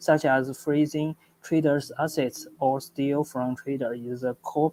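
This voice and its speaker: Against noticeable background noise, a man with a Chinese accent talks at a fairly slow pace in a fairly high pitch. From China. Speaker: startup founder. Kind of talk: project pitch presentation. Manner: halting, with stutters and restarts.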